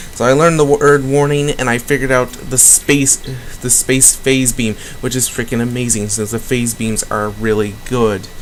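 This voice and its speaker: The speaker's intonation stays fairly even against noticeable background noise. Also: man, medium pitch for a man. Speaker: gaming video host. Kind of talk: let's play commentary. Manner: fast.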